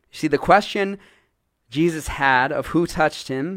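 A man speaks with a plain, everyday voice. His pitch is fairly high, with ordinary pitch variation. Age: 30s. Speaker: pastor. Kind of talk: sermon. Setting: church.

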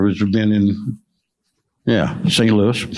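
Audible room echo surrounds a man who speaks fairly slowly with an American accent. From central Illinois. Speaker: farmer. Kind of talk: panel discussion.

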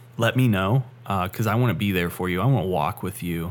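An unremarkable speaking voice from a man with fairly low pitch and ordinary pitch variation, in a very clean recording with a silent background. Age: 20s. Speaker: podcast co-host. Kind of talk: casual interview conversation.

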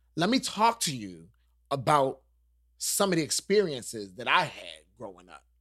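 A man speaks at a moderate pace with vocal fry, very wide pitch swings and big swings in loudness. The recording is very clean, with a silent background. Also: fairly high pitch for a man. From New York. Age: 40s. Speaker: podcast host and YouTube vlogger. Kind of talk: casual chat. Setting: guest's home.

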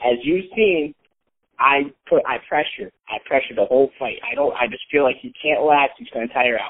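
At a moderate pace, a man talks with an American accent. His loudness swings widely. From upstate New York, Scotia. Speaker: amateur MMA fighter. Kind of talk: casual interview. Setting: phone call.

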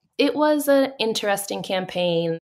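A woman's ordinary speaking voice with lively intonation at a fairly slow pace, on a very clean recording with a silent background. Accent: American. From Massachusetts, north of Boston. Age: 30s. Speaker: political communications executive director. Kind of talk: interview. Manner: casual, filler-heavy.

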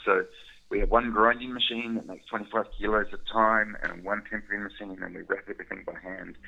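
A man speaks with a New Zealand accent. His pace is very fast. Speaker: chocolate business owner, former scientist. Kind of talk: interview.

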